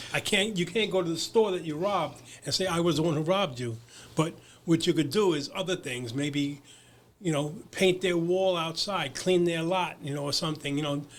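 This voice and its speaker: A man with a New York accent, high in pitch, with ordinary pitch variation at a moderate pace, on a very clean recording with a silent background. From Brooklyn, New York. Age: 70s. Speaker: recovery advocate. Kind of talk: casual interview. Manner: halting, many repeated words.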